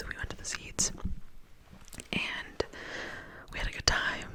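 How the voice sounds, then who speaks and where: A woman whispers at a moderate pace in a relaxed tone. Noticeable background noise runs underneath. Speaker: ASMR creator. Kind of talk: ASMR storytime, rambling personal anecdote. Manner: whispered, close-up, relaxed rambling.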